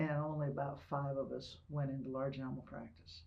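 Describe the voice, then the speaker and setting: In audible room echo, a woman with an American accent speaks at a fairly quick pace. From Ohio. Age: 70s. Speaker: retired military officer and veterinarian. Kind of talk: oral history interview. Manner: conversational, some hesitations.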